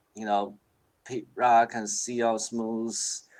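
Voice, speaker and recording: A man speaks at a very slow pace. He has a Chinese accent. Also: very clean recording, silent background. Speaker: hip hop producer. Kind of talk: casual interview chat. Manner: halting.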